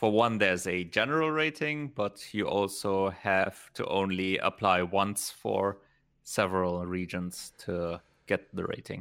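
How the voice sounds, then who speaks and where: A man with a German accent talks at a fairly slow pace and a fairly low pitch. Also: ordinary pitch variation. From Germany. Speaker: gaming podcast co-host. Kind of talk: casual chat.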